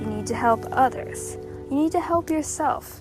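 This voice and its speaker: A woman's soothing, calm tone at a moderate pace, with music in the background. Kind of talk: motivational pep talk.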